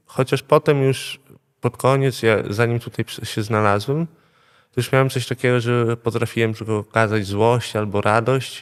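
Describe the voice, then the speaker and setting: Having an ordinary speaking voice, a man talks at a moderate pace and medium pitch with fairly even intonation in a dry, close sound with no echo. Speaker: addiction therapy patient. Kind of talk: testimony. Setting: rehab centre.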